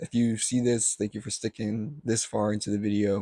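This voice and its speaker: A man speaks at a moderate pace in a fairly low, dark and mellow voice, his intonation flat and monotone, with a dry, close sound and no echo. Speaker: vlogger. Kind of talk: casual vlog talk to camera. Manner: halting, self-correcting; unscripted, filler-heavy.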